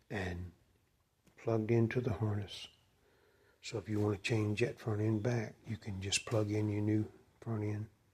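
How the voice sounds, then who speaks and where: Somewhat breathy and monotone, with flat intonation, a man speaks at a fairly slow pace. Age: 60s. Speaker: motorcycle hobbyist mechanic. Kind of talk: casual show-and-tell video. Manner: halting, with fillers.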